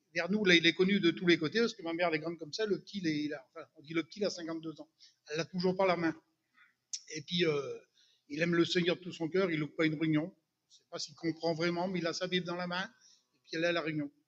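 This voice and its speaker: A man with a high voice speaks at a very fast pace. His intonation is monotone and flat. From Brittany, France. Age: 60s. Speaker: churchgoer giving testimony. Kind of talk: testimony. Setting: church. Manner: hesitant, many fillers.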